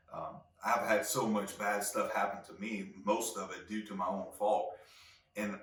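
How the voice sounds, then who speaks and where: A man with lively intonation, amid audible room echo and noticeable background noise. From Louisiana (Cajun). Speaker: podcast host. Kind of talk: solo podcast monologue. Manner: halting, many fillers and repeats.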